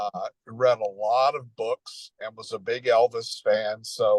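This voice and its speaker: A man with an American accent speaks in a dry, close sound with no echo. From Tennessee, near Nashville. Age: 60s. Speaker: Elvis fan. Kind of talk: interview. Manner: halting, many fillers.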